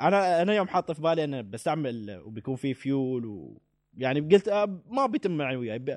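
A man with a fairly high pitch talks at a fairly quick pace, his voice swinging very widely in pitch, recorded dry and close with no echo against a quiet background. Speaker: podcast co-host. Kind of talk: casual chat.

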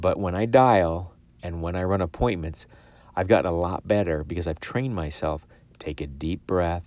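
Recorded very cleanly against a silent background, a man speaks at a very deep, low pitch with big swings in loudness. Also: ordinary pitch variation, moderate pace. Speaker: life insurance agent and podcast host. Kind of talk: solo podcast monologue with sales advice. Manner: excitable, animated.

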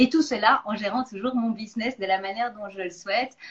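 A woman talks at a fairly quick pace in a medium pitch, somewhat breathy, with ordinary pitch variation. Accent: slight Belgian. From Belgium. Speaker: nutrition coach and interviewer. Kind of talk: interview on a live stream.

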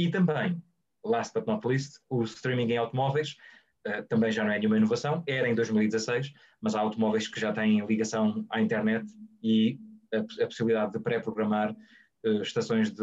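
Medium pitch, ordinary pitch variation and a moderate pace from a man. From Portugal, Guarda. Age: 30s. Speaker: journalist and radio professional. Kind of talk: webinar interview. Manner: halting, many repetitions and fillers.

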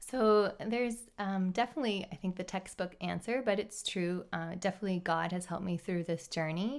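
This woman has a normal speaking voice at a medium pitch, with ordinary pitch variation. She talks at a fairly quick pace with hardly any pauses, and the recording is very clean with a silent background. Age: 30s. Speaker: teacher. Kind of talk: casual chat.

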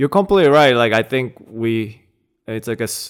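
In a very clean recording with a silent background, a man with a Korean accent speaks at a moderate pace. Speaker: judo practitioner and natural language processing researcher. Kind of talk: casual interview chat. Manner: laid-back, hesitant, laughs often.

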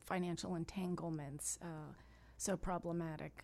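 An unremarkable speaking voice from a woman, fairly low in pitch and fairly slow, with fairly even intonation and an American accent. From Miami, Florida. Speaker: congressional candidate, former judge. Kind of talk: radio interview. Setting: radio studio.

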